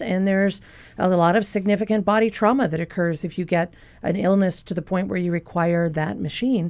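With an unremarkable speaking voice, a woman talks at a fairly quick pace in a medium pitch with ordinary pitch variation. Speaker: physician. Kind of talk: expert Q&A on radio call-in show. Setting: radio studio.

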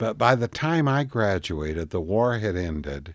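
With a western US accent and lively intonation, a man speaks in a very clean recording with a silent background. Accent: western American. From Colorado (Oak Creek, coal-mining town). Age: 70s. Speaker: retired hair salon owner, son of Italian immigrants. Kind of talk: elderly man's reminiscing life story, 2011 radio interview. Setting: radio interview. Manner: meandering, self-correcting with frequent restarts and 'you know'; warm, unhurried recollection.

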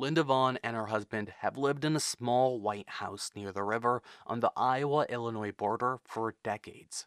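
A man with an unremarkable speaking voice talks at a medium pitch and moderate pace with fairly even intonation and hardly any pauses, the sound dry and close with no echo over a quiet background. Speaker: radio reporter. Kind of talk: news reporting.

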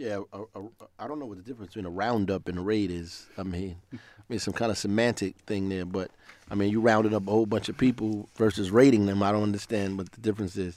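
A fairly low-pitched man with an American accent talks very fast with fairly even intonation and big swings in loudness. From New Jersey. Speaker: city mayor. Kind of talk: radio call-in discussion. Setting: radio studio.

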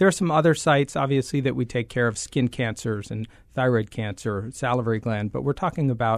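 With a quiet background, a man talks fairly quickly in a normal speaking voice with ordinary pitch variation. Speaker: head and neck surgeon. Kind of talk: radio interview.

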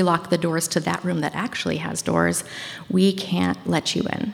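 Noticeable background noise sits behind a woman with a fairly low pitch. She talks at a moderate pace with fairly even intonation. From Maine, Washington County and Bangor. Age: 30s. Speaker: high school teacher and storyteller. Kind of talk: casual interview; live storytelling. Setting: stage with audience.

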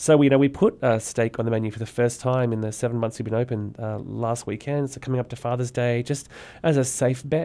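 An Australian-accented man speaks at a fairly quick pace and medium pitch. His tone is dark and mellow, with fairly even intonation. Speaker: restaurant owner. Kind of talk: interview.

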